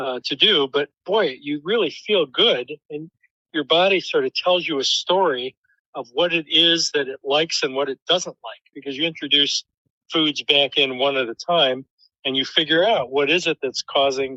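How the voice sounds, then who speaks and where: At a fairly high pitch, a man with an American accent speaks at a moderate pace with ordinary pitch variation. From US Midwest, Detroit. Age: 60s. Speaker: professor. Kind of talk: interview. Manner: hesitant, many fillers.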